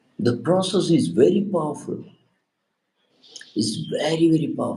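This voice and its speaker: The man speaks at a moderate pace. Room echo is audible. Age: 60s. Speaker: spiritual teacher. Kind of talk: spiritual talk. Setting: live stream. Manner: halting.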